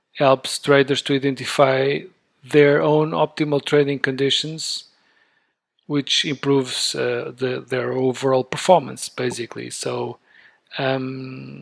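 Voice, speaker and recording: Medium pitch from a man, with fairly even intonation and a fairly slow pace. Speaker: day trader. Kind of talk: casual talk to camera. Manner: hesitant, natural.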